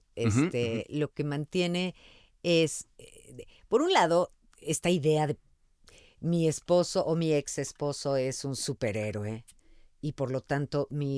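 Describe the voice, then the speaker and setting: A woman speaks in a very deep, low pitch with lively intonation. The sound is dry and close with no echo, on a very clean recording with a silent background. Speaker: voice actor. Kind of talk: interview answer.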